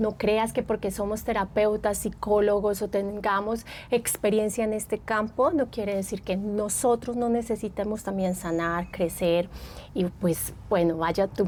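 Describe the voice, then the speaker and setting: A woman speaks with an Antioquian accent at a medium pitch. Her pace is fairly slow and her intonation fairly even. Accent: Antioquian Colombian (paisa). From Colombia, Medellín (Antioquia). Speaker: psychologist and therapist. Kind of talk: podcast interview.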